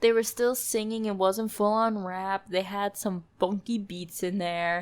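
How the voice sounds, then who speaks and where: In a very clean recording with a silent background, someone with an American accent speaks fairly slowly in an animated tone. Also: woman. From US Midwest. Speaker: podcast host. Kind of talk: casual solo podcast talk.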